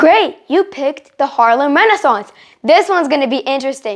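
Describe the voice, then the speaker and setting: In an animated tone, a woman speaks at a high pitch with very wide pitch swings. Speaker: English teacher. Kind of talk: educational tour-style lesson. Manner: fast.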